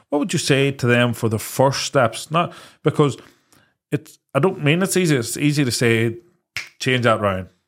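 A man with a Northern Irish accent speaks at a moderate pace and medium pitch, with lively intonation, very even loudness and long, frequent pauses. The recording is very clean, with a silent background. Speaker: podcast co-host. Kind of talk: casual chat.

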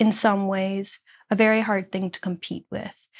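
On a very clean recording with a silent background, a woman with an American accent and an ordinary speaking voice speaks at a moderate pace and medium pitch. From Nashville area, Tennessee (born Chicago). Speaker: singer-songwriter and author. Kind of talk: interview conversation.

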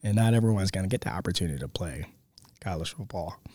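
Very fast and fairly low-pitched, a man with an American accent speaks in a very clean recording with a silent background. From Baltimore, Maryland. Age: 30s. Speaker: high school football coach and teacher. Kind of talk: interview. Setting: classroom.

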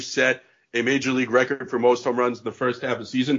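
With a Northeastern US accent, a man speaks at a medium pitch. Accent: American (Northeast). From Connecticut, US. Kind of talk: casual chat.

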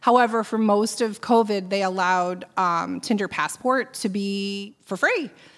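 With an ordinary speaking voice, a woman at medium pitch talks at a fairly slow pace with hardly any pauses and fairly even intonation. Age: 40s. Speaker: nonprofit fundraiser. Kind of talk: casual interview.

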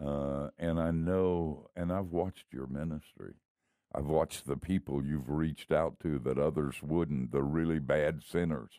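Very deep and low in pitch, a man speaks at a fairly slow pace with a dark, mellow tone and fairly even intonation, the sound dry and close with no echo. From US South, Miami. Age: old. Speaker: retired pastor, radio host. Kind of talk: casual chat.

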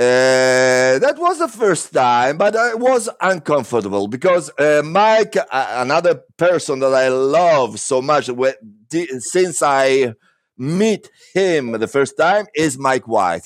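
This man speaks very slowly with an Italian accent and lively intonation. His pitch is fairly high, and his loudness stays very even. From Rome, Italy. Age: 50s. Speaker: actor. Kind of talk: interview. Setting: video call.

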